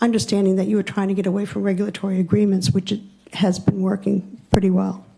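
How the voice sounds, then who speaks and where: Somewhat breathy and with a dark, mellow tone, a woman speaks at a medium pitch. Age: 70s. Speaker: public commenter at town meeting. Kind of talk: public comment. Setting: town hall hearing room. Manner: formal.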